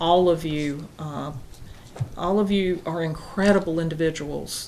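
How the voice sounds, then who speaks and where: Audible room echo carries speech in a Southern US accent. The pace is fairly slow and the intonation fairly even. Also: woman. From US South, South Carolina. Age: 60s. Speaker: town council presiding official. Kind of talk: council meeting closing remarks. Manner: hesitant fillers.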